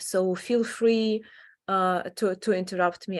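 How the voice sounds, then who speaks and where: A woman speaks with a Ukrainian accent at a fairly low pitch. Her pace is fairly slow, with ordinary pitch variation. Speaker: adult education professor and association founder. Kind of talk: online presentation. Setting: online meeting. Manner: halting, many fillers.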